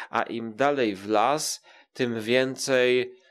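The man's voice sits at a medium pitch. It rises and falls in an ordinary way. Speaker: podcaster. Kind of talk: casual chat. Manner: hesitant, many fillers.

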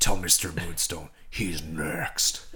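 With light background noise, a man performs a put-on character voice at a very deep, low pitch. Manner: put-on voice.

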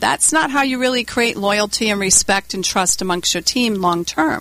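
A woman speaks at a medium pitch with an American accent. Noticeable background noise runs underneath. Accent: Rhode Island accent, noticeable on numbers. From US Northeast, Warwick, Rhode Island. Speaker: leadership communication trainer and company CEO. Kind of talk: radio interview.

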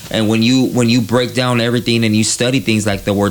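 Over noticeable background noise, a man speaks with an American accent. His pitch is medium and his intonation fairly even. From East Los Angeles. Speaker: tattoo artist. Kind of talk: casual interview. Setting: tattoo studio.

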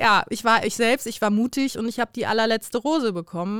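Recorded very cleanly against a silent background, a woman speaks in a normal speaking voice, her pitch fairly high with ordinary variation. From Bremen, northern Germany. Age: 20s. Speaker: influencer and former reality TV contestant. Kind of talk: casual chat.

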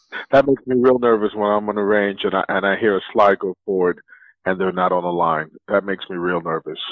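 This is an unremarkable speaking voice with ordinary pitch variation. It moves at a fairly quick pace. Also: man, fairly low pitch for a man. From New York City (South Bronx). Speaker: former Marine, gun enthusiast. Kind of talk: casual chat.

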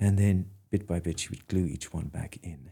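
A man at a moderate pace in a Kerry accent, on a very clean recording with a silent background. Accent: Irish (Kerry). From Ireland, Dingle (County Kerry). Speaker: artist. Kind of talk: interview. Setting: studio. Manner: hesitant, many fillers and restarts.

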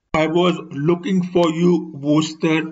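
A man puts on a raspy character voice at a fairly high pitch. He talks at a fairly slow pace with monotone, flat intonation.

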